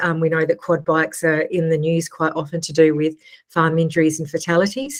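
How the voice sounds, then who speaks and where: An Australian accent at a moderate pace. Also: woman. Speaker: agricultural education staff presenter. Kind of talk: webinar presentation. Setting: live webinar.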